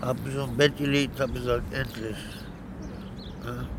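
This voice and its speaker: Noticeable background noise around a man's fairly slow delivery. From Berlin. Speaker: homeless man. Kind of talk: casual chat. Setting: underground train station. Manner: halting.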